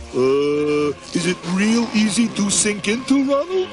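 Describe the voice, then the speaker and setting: In a cartoonish character voice, a man talks high and fairly slowly while music plays clearly in the background. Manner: slow, hesitant.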